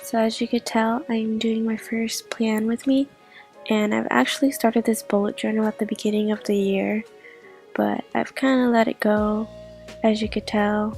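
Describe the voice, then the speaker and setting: A woman's fairly high voice with fairly even intonation, music in the background. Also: moderate pace. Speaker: bullet journaling YouTuber. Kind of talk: casual talk to camera.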